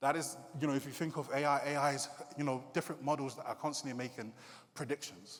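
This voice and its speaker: A man's fairly high voice with a British accent and fairly even intonation. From UK, Nigerian heritage. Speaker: creative coder and digital artist. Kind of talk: conference talk. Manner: casual, hesitant fillers.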